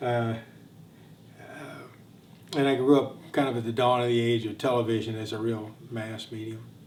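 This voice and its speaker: With an American accent and monotone, flat intonation, the speaker moves at a moderate pace with long, frequent pauses and big swings in loudness, all under audible room echo. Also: man, medium pitch for a man. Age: 60s. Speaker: war veteran. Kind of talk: testimony. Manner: halting.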